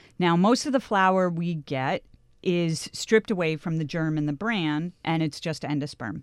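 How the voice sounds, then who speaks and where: A woman talks at a moderate pace, her fairly low voice carrying lively intonation. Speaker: grain and flour writer. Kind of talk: casual chat. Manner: animated.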